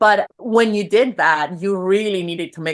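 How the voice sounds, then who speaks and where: A woman talks with a Spanish accent. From Venezuela. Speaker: personal brand strategist and photographer. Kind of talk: podcast interview. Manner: casual, with frequent fillers and repetitions.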